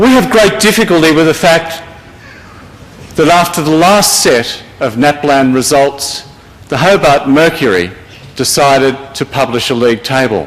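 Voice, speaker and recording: A man with an Australian accent, fairly high in pitch, speaking fairly slowly with lively intonation over noticeable background noise. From Victoria, Australia. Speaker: school principals' representative. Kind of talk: speech to an audience. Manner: formal.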